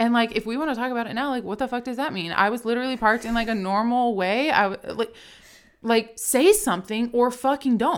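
Very fast speech with an American accent and ordinary pitch variation, on a very clean recording with a silent background. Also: woman, fairly high pitch for a woman. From Richmond, Virginia. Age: 30s. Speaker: podcast co-host, gym founder. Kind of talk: casual chat. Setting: studio.

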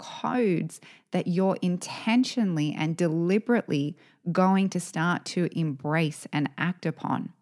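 In a very clean recording with a silent background, a woman uses an ordinary speaking voice, fairly low in pitch, at a fairly slow pace. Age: 40s. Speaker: podcast co-host, women's business coach. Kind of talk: casual chat.

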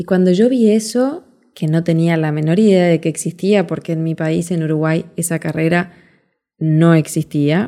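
A woman with a Rioplatense accent speaks at a fairly low pitch with ordinary pitch variation. Her tone is warm, dark and mellow. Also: moderate pace. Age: 40s. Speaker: podcast host, life coach. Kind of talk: motivational monologue. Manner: warm, conversational.

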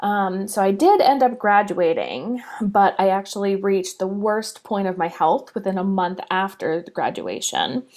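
In an American accent, a woman speaks at a moderate pace and medium pitch with hardly any pauses. Hers is an unremarkable speaking voice with ordinary pitch variation. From US Northeast. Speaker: spiritual coach. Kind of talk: personal story monologue.

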